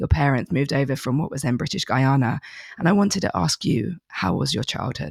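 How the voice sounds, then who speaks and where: A woman's very deep, low voice with vocal fry and very wide pitch swings, in a dry, close sound with no echo. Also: fairly quick pace. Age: 30s. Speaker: podcast host. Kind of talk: interview.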